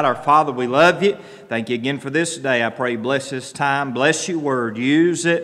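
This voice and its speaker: With an American accent, a man speaks at a fairly quick pace and ordinary pitch variation. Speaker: pastor. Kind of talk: church announcements and prayer. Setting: church. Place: church. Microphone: podium.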